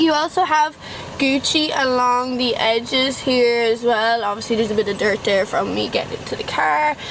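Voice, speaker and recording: A high-pitched woman at a moderate pace, with noticeable background noise. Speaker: YouTuber. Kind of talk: casual car review vlog. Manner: casual, chatty.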